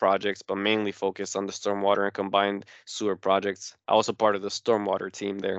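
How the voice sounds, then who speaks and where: A man's fairly low-pitched voice at a fairly quick pace. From New Jersey, Newark. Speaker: product sales engineer. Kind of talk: technical explanation in interview. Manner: hesitant, many fillers.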